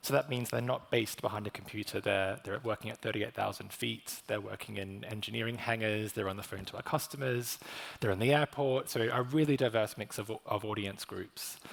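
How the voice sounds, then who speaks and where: Talking at a fairly quick pace with hardly any pauses, a man with an Australian accent has a fairly low pitch, ordinary pitch variation and vocal fry. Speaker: corporate communications manager. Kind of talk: panel discussion. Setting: stage with audience.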